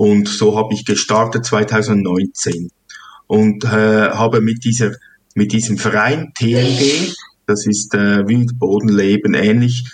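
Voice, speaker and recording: Speaking at a very slow pace, a man uses a fairly low pitch and fairly even intonation. His loudness stays very even. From Switzerland, Hünenberg (canton Zug). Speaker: farmer. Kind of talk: interview. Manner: halting, many fillers.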